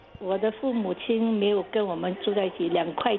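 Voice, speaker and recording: Over noticeable background noise, a woman speaks at a moderate pace with a medium pitch and fairly even intonation. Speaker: listener sharing memories. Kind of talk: casual interview.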